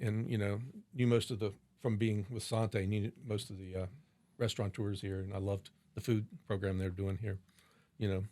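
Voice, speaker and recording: An unremarkable speaking voice from a man with an American accent, fairly low in pitch and fairly quick in pace, on a very clean recording with a silent background. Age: 60s. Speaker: wine shop and restaurant owner. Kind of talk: interview conversation.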